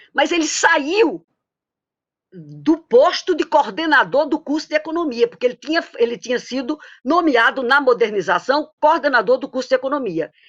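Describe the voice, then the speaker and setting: A woman with a Paraíba accent speaks at a high pitch, her voice swinging very widely. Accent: Paraíba (northeastern Brazilian). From Paraíba, northeastern Brazil. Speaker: economist, former professor. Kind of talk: tribute testimony in a webinar. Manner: halting, many false starts.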